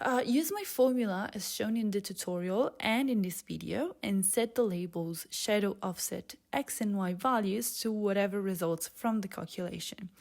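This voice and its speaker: A woman with a non-native accent at medium pitch, ordinary pitch variation and hardly any pauses, in a very clean recording with a silent background. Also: moderate pace. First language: not English. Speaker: software developer, tutorial maker. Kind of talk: coding tutorial. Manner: casual, with frequent fillers.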